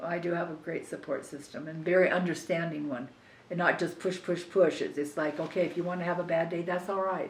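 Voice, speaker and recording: Against audible room echo, a woman with a fairly low pitch talks at a fairly quick pace in a monotone, flat intonation. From Southern California. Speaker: family member interviewee, cancer patient. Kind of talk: family oral history interview. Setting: at a relative's house. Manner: halting, repeats words.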